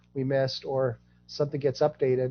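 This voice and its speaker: Over music in the background, a man speaks at a fairly high pitch with monotone, flat intonation. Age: 60s. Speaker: genealogy project founder, guest speaker. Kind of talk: presentation Q&A.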